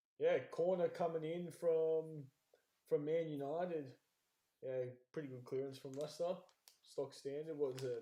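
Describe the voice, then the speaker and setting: A man's dark, mellow voice at a moderate pace, with fairly even intonation and long, frequent pauses. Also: fairly high pitch for a man. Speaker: podcast host. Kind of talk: live match watchalong chat. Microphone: too quiet on stream.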